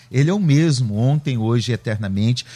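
A man's somewhat breathy voice with a dark, mellow tone, at a moderate pace, on a very clean recording with a silent background. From Curitiba, southern Brazil. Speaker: pastor. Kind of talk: radio panel debate. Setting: radio studio.

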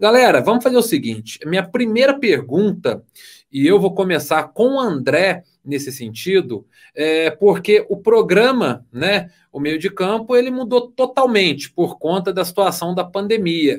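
A man's high-pitched voice at a fairly slow pace, swinging very widely in pitch, in a very clean recording with a silent background. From Brazil, southern Minas Gerais (Varginha). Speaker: sports journalist and live show host. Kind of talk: casual chat.

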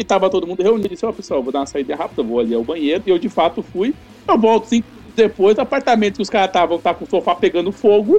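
A man talks at a very fast pace with hardly any pauses and a high pitch. His voice has very wide pitch swings and big swings in loudness over music in the background. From São Paulo, Brazil. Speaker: tabletop RPG game master. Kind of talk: casual chat.

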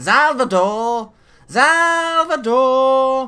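A put-on character voice, high-pitched and whiny. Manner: whining, calling out.

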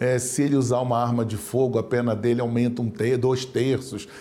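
A man's dark, mellow tone at medium pitch and a moderate pace. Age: 60s. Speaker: public prosecutor. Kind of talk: studio interview. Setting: studio.

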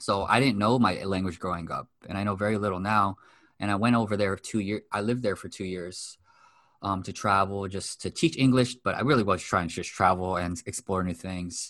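This man has an ordinary speaking voice with an American accent, pitched fairly low. He talks at a fairly quick pace with fairly even intonation against a quiet background. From US West Coast, Los Angeles. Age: 30s. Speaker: mindset coach. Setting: video call.

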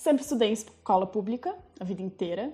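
At a moderate pace, a woman speaks in a dark, mellow tone with very wide pitch swings. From Rio Grande do Sul, Brazil (Farroupilha). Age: 20s. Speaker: small business owner, lingerie maker. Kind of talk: casual interview chat.

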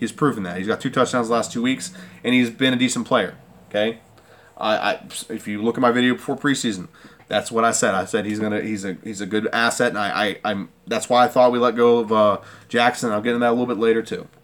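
A man's medium-pitched voice, very fast, with fairly even intonation. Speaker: sports YouTuber, football fan commentator. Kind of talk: angry rant. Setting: solo home recording, video channel. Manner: fired-up, emphatic, forceful, insistent; casual, rambling, repetitive, conversational.

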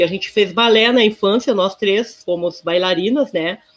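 In an unremarkable speaking voice, a woman of medium pitch speaks at a moderate pace with ordinary pitch variation. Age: 50s. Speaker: social worker. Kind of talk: interview.

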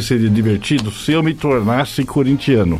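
A man talks at a moderate pace while music sounds behind him. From United States. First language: English (speaking Portuguese). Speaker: journalist and writer. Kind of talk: interview. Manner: halting.

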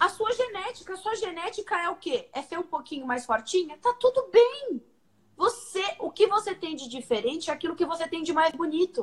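With very wide pitch swings, a woman talks at a moderate pace in an extremely high pitch. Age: 30s. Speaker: nutritionist. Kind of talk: casual chat.

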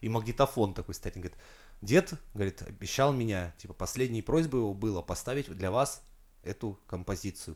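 An animated man's fairly low voice, lively in intonation and fairly quick in pace, on a very clean recording with a silent background. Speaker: podcast co-host. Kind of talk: casual chat.

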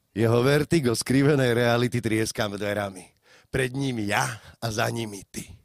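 At a moderate pace, a man talks in an ordinary speaking voice, medium in pitch and with ordinary pitch variation. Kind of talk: slam poetry performance. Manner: rhythmic, declamatory, dense wordplay delivery.

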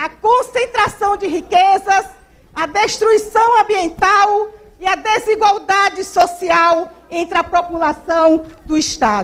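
A woman's extremely high-pitched voice at a very slow pace. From Brazil, Maranhão. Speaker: social movement activist. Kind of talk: reading aloud.

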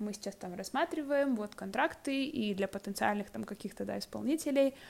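A woman talks at a moderate pace with very wide pitch swings. Her loudness swings widely too. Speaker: podcast co-host. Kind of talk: casual conversation.

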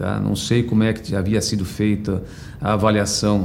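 Noticeable background noise and audible room echo surround a man with a São Paulo accent speaking at a fairly low pitch. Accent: Brazilian Portuguese, Paulistano. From Brazil, São Paulo. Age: 50s. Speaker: HR director. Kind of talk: personal life story interview. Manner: halting, with many fillers.

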